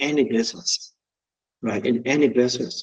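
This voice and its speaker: A man with a medium pitch speaks with a strong non-native accent. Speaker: mortgage company founder and loan officer. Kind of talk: webinar presentation. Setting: video call.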